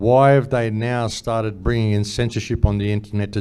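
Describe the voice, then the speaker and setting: An Australian accent with a dark, mellow tone and a fairly quick pace. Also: man. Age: 60s. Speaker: conference speaker. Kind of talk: panel discussion. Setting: stage with audience. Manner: animated.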